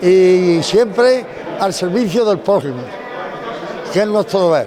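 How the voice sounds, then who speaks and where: Very slowly, a man speaks at a high pitch with ordinary pitch variation and very even loudness. Noticeable background noise and audible room echo fill the recording. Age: 90s. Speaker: retired civil guard traffic officer. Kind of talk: interview.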